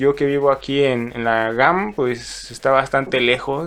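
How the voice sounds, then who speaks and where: Over music in the background, a man with a medium-pitched voice speaks at a fairly slow pace. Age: 20s. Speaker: brewer. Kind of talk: interview.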